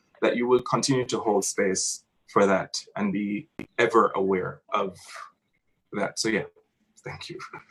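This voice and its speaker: A man speaks at a moderate pace in a Jamaican accent. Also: long, frequent pauses. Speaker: theatre artist. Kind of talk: panel discussion.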